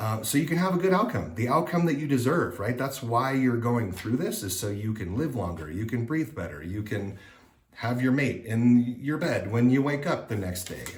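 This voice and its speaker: A man's medium-pitched, lively voice at a moderate pace, with audible room echo and noticeable background noise. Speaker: vlogger sharing surgery recovery update. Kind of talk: casual vlog update. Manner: hesitant with many fillers.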